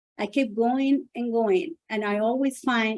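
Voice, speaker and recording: A woman with a Spanish accent talks at a moderate pace with a fairly high pitch. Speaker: author and businesswoman. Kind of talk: personal testimony speech.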